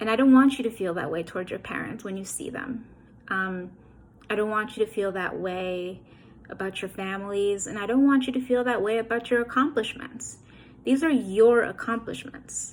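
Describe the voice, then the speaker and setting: A woman speaks in an ordinary speaking voice, fairly high in pitch with ordinary pitch variation. Her loudness swings widely, and her pace is moderate. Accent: American. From New York City (Queens/Brooklyn). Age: 30s. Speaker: author. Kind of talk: motivational address. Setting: recorded video message.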